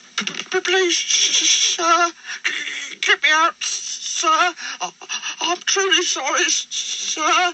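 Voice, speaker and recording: In a put-on character voice of extremely high pitch, the speaker goes at a very slow pace with long, frequent pauses. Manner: pleading, groaning.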